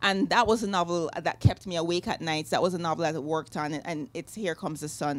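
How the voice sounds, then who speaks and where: On a very clean recording with a silent background, a woman with a Jamaican accent speaks at a fairly low pitch with ordinary pitch variation. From Jamaica, Kingston. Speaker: novelist. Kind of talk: author interview. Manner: halting, many fillers.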